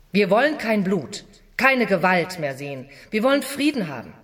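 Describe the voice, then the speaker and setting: With vocal fry and very wide pitch swings, a woman talks fairly slowly at a medium pitch. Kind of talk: dramatized reading of 1919 political speech and memoir. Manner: earnest, firm, declamatory and emphatic.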